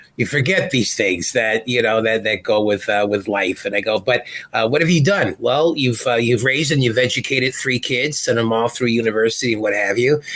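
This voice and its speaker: Medium-pitched man at a fairly quick pace with hardly any pauses, very even loudness and ordinary pitch variation, over noticeable background noise. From Canada, Winnipeg. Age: 60s. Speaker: stand-up comedian. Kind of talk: interview.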